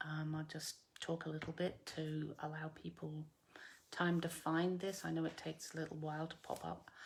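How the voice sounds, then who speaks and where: Speaking slowly-ish in a flat monotone, a woman with a slight English accent has a very deep, low pitch. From UK. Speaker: craft demonstrator. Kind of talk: live craft tutorial. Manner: hesitant, many fillers.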